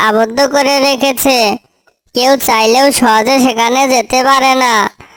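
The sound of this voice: A cartoonish character voice, female-sounding and high-pitched, with monotone, flat intonation at a fairly slow pace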